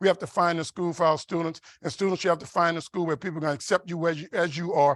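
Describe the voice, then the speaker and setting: A man with an American accent speaks at a very fast pace with a high pitch and an animated tone. The sound is dry and close with no echo, on a very clean recording with a silent background. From US South, New Orleans. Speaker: keynote speaker, engineer and mentor. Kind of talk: motivational keynote speech. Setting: conference dinner, stage with audience. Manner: animated storytelling.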